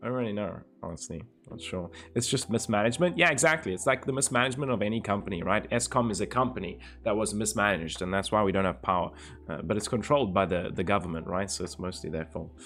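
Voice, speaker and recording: Talking at a very fast pace, a man uses a fairly low pitch with very wide pitch swings. Vocal fry runs through his voice. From South Africa, Cape Town. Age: 20s. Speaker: live streamer. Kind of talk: casual chat reading live chat.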